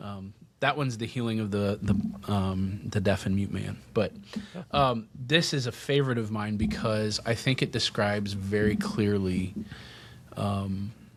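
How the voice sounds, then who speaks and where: A man speaks in a normal speaking voice at a fairly low pitch. His pace is fairly slow. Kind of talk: homily-style reflection on the Gospel in a podcast discussion. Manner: conversational, reflective.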